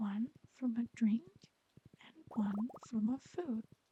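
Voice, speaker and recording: The speaker is soft-spoken, with a calm tone. The pace is very slow. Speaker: ASMR content creator. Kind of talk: soft-spoken ASMR gameplay voiceover reading facts. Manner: quiet, calm, soft-spoken.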